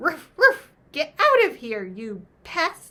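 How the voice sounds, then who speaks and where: In a put-on character voice, a woman squeaks at an extremely high pitch, projecting loudly and speaking very slowly with very wide swings in pitch. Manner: fierce, barking.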